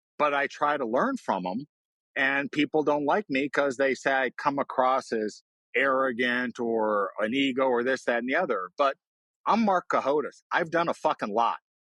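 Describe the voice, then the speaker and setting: In a dry, close recording with no echo, a man speaks at a moderate pace and a fairly high pitch, his tone bright, sharp and animated, with ordinary pitch variation. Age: 60s. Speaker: investor and short seller. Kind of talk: podcast interview. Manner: blunt, animated.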